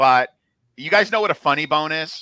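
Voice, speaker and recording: A man with a New Jersey accent, bright, sharp tone and moderate pace, in a dry, close sound with no echo over a very clean recording and silent background. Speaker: MMA betting analyst. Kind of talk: casual chat.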